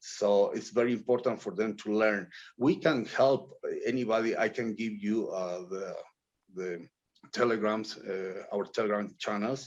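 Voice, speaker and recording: A man's fairly low, fairly slow voice with fairly even intonation and a non-native accent. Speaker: blockchain project director. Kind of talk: interview. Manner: halting, many fillers.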